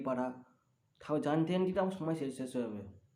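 A man's fairly high voice has a dark, mellow tone and lively intonation, with audible room echo. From West Bengal, Bardhaman. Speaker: vlogger. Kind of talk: casual vlog narration.

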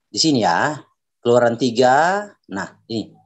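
Lively intonation marks a man's fairly slow delivery. Nothing can be heard behind him. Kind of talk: religious debate. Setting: video call. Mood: assertive, argumentative. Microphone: video call.

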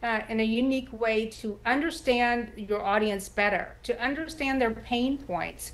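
A woman with an American accent speaks at a fairly slow pace. Her pitch is fairly high, with ordinary variation. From Texas. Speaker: writer and former journalist; former journalist. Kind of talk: TV interview. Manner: halting. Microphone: video call.

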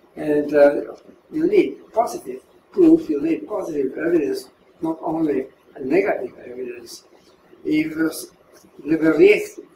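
Slowish in pace, a man talks in a room with audible echo and light background noise. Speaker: philosopher of science. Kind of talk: interview answer. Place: home room.

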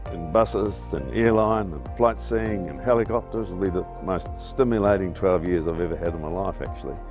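A man's very deep, low voice with a New Zealand accent, very wide pitch swings and a fairly quick pace, dry with no echo, with clear music in the background. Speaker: former ski instructor and tourism manager. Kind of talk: reminiscing interview answer. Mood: warm, nostalgic, good-humoured. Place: garden.

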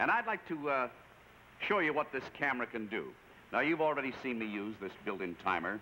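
Very fast talk from a man with very wide pitch swings, over light background noise. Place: studio. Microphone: camera far.

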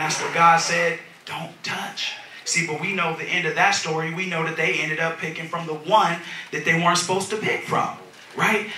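A man with a high voice speaks at a moderate pace, with audible room echo and light background noise. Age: 30s. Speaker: minister. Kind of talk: sermon. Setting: church with congregation. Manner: animated. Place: church.

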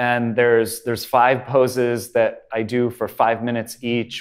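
The speaker is a man. The background is quiet. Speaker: yoga teacher. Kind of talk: tutorial. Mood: calm, relaxed. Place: studio. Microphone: lapel.

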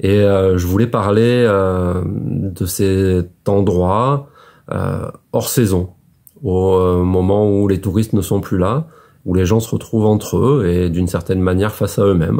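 Against a quiet background, a man's very deep, low voice carries a dark, mellow tone. He speaks at a very slow pace with ordinary pitch variation. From France, Médoc (Gironde, southwest); Gironde, France. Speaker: author. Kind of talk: book presentation monologue. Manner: hesitant, many filler sounds. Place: home room. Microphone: phone near.

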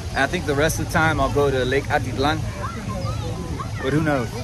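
Against noticeable background noise, a man speaks at a moderate pace with ordinary pitch variation and a dry sound with no echo. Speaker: travel vlogger. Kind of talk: casual vlog chat. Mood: relaxed, grateful. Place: street. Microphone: phone near.

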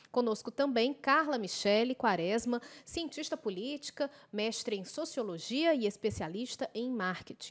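A woman's normal speaking voice, fairly high in pitch, lively intonation, moderate pace. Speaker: TV and radio debate host; radio debate host. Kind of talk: broadcast debate moderation. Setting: studio. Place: studio. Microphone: podium.

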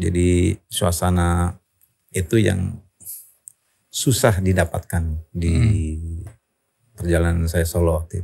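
A man with a very deep, low, somewhat breathy voice and a dark, mellow tone speaks at a very slow pace. His intonation is fairly even, he takes long, frequent pauses, and the background is quiet. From Indonesia. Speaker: rock singer; podcast guest. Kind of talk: interview answer. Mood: relaxed, reflective. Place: studio. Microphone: studio mic.

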